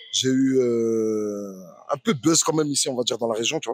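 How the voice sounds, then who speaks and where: An ordinary speaking voice with ordinary pitch variation moves at a moderate pace. The sound is dry and close, with no echo. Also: man. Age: 30s. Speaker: professional boxer and former rapper. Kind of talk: podcast interview. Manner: casual, many fillers.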